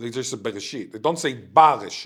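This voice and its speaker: A man with an Israeli accent, medium in pitch, with ordinary pitch variation. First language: Hebrew (Israeli). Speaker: linguistics professor. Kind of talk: interview conversation.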